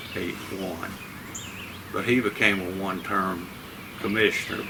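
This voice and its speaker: A man with a fairly low pitch is heard amid noticeable background noise and audible room echo. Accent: Southern US. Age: 70s. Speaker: local political candidate. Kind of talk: interview.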